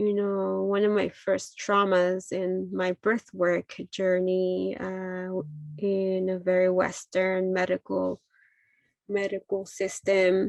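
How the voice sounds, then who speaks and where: A woman's medium-pitched voice with a Spanish accent at a very slow pace, monotone and flat, with a dry, close sound with no echo and a quiet background. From Mexico, Jalisco. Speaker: midwife. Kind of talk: talk sharing personal story. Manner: halting, many fillers.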